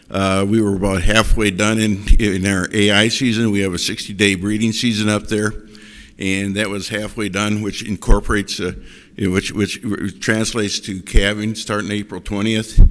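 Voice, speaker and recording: A man with an American accent talks at a moderate pace in a fairly low pitch and a monotone, flat intonation. The recording is very clean, with a silent background. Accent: Wisconsin accent, noticed by others. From Wisconsin. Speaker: cattle rancher. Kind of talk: panel presentation. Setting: conference stage with audience. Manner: halting, many fillers and repeats.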